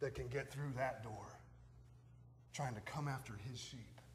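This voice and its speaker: A man speaks at a fairly slow pace with vocal fry, a medium pitch and fairly even intonation over light background noise. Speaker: pastor. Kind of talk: sermon preached to a congregation. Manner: passionate, emphatic. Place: church.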